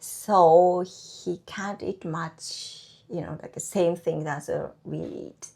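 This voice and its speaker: Heard in a Japanese accent with ordinary pitch variation, the speech sits on a very clean recording with a silent background. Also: woman. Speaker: housewife and online baking teacher. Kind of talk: interview. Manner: halting.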